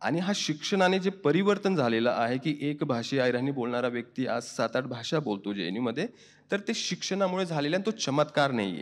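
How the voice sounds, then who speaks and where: A man with a fairly high pitch swings very widely in pitch. The background is quiet. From India, Maharashtra (Dhule region). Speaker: writer and professor. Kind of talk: interview answer.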